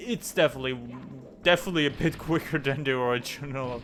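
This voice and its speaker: Music plays behind a man speaking at a fairly quick pace in a fairly high voice with ordinary pitch variation. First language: German. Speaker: gaming YouTuber. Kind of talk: let's play commentary. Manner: casual, halting at times.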